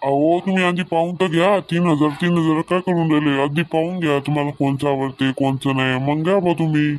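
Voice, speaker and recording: A man puts on a cartoonish character voice, pitched fairly high, with fairly even intonation. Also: moderate pace, very even loudness. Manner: brisk, salesy.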